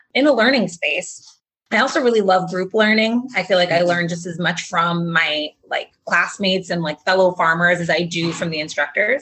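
In an American accent, a woman speaks at a moderate pace with an unremarkable speaking voice. Her pitch sits at a medium level and shows ordinary pitch variation. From Massachusetts, between Boston and Providence. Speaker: beginning farmer, farm training student. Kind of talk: interview conversation.

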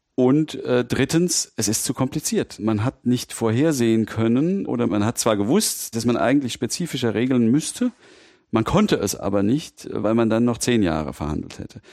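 On a very clean recording with a silent background and a dry, close sound with no echo, a man with a medium-pitched voice speaks at a moderate pace in a dark, mellow tone with lively intonation. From Mainz, Rheinhessen. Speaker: lawyer, data protection expert. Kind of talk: interview, expert explanation.

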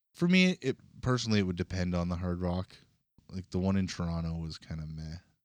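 A man with a Canadian accent speaks very fast in a very deep, low voice with fairly even intonation. The sound is dry and close, without echo. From Canada, northwestern Ontario (Kenora). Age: 40s. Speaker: podcast co-host. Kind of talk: casual chat.

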